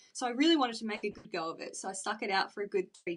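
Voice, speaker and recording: A woman with an Australian accent. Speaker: church member. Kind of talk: interview.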